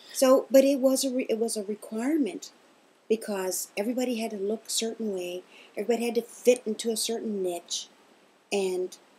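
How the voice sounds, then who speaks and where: A somewhat breathy woman's voice, fairly high in pitch yet dark and mellow in tone, with long, frequent pauses. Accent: American. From US South, Kentucky. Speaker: interviewee, mother of host. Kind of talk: casual interview.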